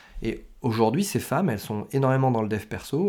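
In a very clean recording with a silent background, a man speaks at a medium pitch. His pace is fairly quick and his intonation lively. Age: 40s. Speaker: business coach. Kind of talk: solo podcast monologue. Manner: hesitant, many fillers.

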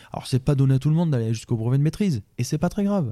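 A man with a dark, mellow tone. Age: 40s. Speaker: baker and vocational teacher. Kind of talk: interview. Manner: halting.

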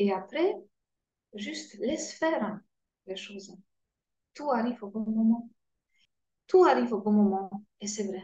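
A dark, mellow, somewhat breathy voice with a Polish accent at a very slow pace. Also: woman. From Poland. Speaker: guest, cancer patient, former engineer. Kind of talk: interview, personal testimony. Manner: halting, hesitant.

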